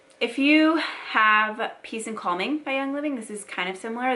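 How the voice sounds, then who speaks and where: A woman's bright, sharp voice with ordinary pitch variation and audible room echo. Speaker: beauty and wellness youtuber. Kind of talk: product unboxing review. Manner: fast; animated.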